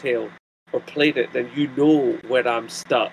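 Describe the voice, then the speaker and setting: Speaking in a strong Scottish accent, a man with a fairly high voice keeps a moderate pace. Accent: thick Scottish. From Scotland. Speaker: YouTuber. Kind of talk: casual chat.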